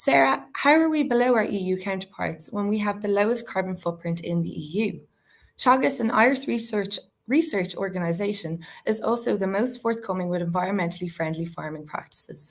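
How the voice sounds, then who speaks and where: A woman with a strong Dublin accent at a fairly quick pace. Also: medium pitch for a woman, lively intonation. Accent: thick Dublin. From Ireland, Dublin city centre. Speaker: university student debater. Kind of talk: competitive debate speech. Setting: virtual debate.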